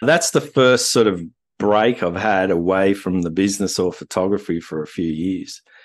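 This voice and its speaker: Against a quiet background, a man with an Australian accent speaks at a moderate pace, his fairly low pitch varying in an ordinary way. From Australia, Wagga Wagga, New South Wales. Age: 50s. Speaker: landscape photographer. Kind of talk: interview conversation. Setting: video call.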